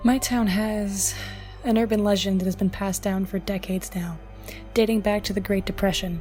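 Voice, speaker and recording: A woman talks at a fairly quick pace with monotone, flat intonation and a medium pitch. Music plays in the background. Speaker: horror story narrator. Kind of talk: horror story narration.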